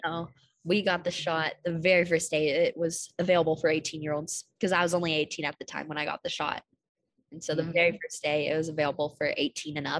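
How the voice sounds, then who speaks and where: Here a woman talks at a very fast pace and fairly low pitch, monotone and flat. The sound is dry and close, with no echo. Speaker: student podcast interviewer. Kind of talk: casual interview.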